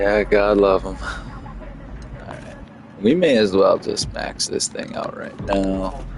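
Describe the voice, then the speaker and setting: A man speaking at a very slow pace, with big swings in loudness and music in the background. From Canada. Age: 30s. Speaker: gaming streamer. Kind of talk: casual livestream chat.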